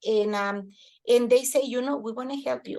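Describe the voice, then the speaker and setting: A woman speaks in a monotone with flat intonation. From Mexico. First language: Spanish. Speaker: daycare center director. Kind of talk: podcast interview.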